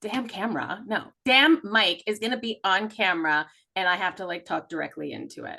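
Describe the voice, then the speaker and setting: Her tone is bright and sharp as this woman talks at a fairly quick pace. Her loudness swings widely. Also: medium pitch for a woman, lively intonation. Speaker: podcast co-host, intuitive healer. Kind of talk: casual chat. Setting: studio recording with camera. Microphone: mic close to face.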